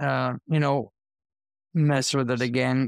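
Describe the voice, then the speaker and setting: Recorded dry and close with no echo, a man of medium pitch talks at a fairly slow pace. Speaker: metal band vocalist. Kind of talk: casual interview. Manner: halting.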